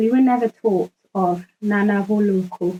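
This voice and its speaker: Speaking at a very slow pace, a woman uses a medium pitch and a dark, mellow tone with a Zimbabwean accent. Her sound is dry and close, with no echo. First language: Ndebele. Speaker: activist. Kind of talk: spoken word monologue. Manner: formal.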